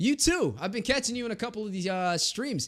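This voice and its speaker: A man with a high pitch and a bright, sharp tone speaks in a raised, projected voice at a fairly quick pace. The recording is very clean with a silent background. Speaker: esports caster and streamer. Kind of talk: live commentary and chat with viewers. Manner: casual, animated.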